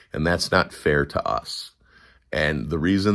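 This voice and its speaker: In a very clean recording with a silent background, a man with an American accent speaks with vocal fry. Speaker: political commentary livestreamer. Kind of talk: casual livestream chat. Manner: slow.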